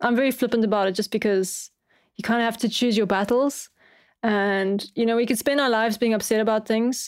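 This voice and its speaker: A woman's fairly high voice in a South African accent, with ordinary pitch variation, on a very clean recording with a silent background. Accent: South African, often mistaken for Australian. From South Africa, Cape Town. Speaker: music producer and composer. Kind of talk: casual chat.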